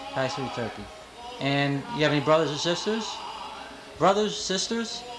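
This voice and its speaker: Over noticeable background noise, a man with a fairly high pitch speaks at a moderate pace using very wide pitch swings. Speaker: grandson interviewer. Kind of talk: interview questions.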